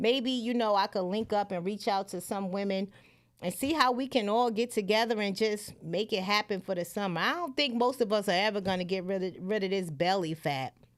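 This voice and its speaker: On a very clean recording with a silent background, a woman speaks at medium pitch with ordinary pitch variation in a plain, everyday voice. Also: fairly quick pace. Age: 40s. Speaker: livestream talk show host and comedian. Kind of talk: casual livestream chat.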